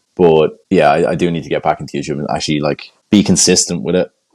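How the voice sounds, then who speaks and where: A man with an Irish accent at a very fast pace. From Ireland. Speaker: jiu jitsu brown belt and instructor. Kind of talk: casual podcast interview.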